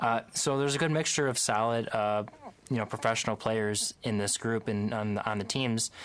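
In a very clean recording with a silent background, a man with a plain, everyday voice talks at a fairly quick pace, his fairly low pitch showing ordinary pitch variation. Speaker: student sports analyst. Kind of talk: casual sports discussion.

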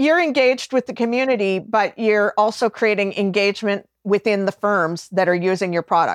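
A woman with a Canadian accent has a plain, everyday voice at medium pitch, talking at a fairly quick pace with hardly any pauses. The sound is dry and close with no echo, and her loudness stays very even. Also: ordinary pitch variation. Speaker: cloud accounting specialist. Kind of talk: casual interview chat.

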